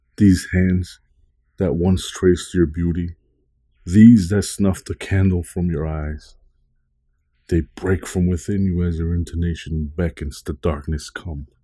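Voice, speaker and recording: A man's very deep, low voice, dark and mellow, solemn and theatrical, somewhat breathy, with fairly even intonation at a fairly slow pace, on a very clean recording with a silent background. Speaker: poet and podcast host. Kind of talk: poetry reading, dramatic and gothic, read aloud from his own written poem. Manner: solemn, brooding, measured and theatrical.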